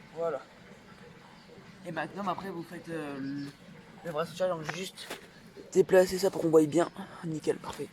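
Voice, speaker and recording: A man's high-pitched, flat monotone with long, frequent pauses, big swings in loudness and noticeable background noise. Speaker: parkour youtuber. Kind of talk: tutorial. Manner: fast.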